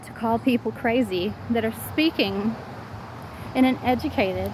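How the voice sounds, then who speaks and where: Speaking with a Southern US accent, a woman talks at a very slow pace. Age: 40s. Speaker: vlogger. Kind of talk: personal vlog monologue. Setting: outdoors, walking.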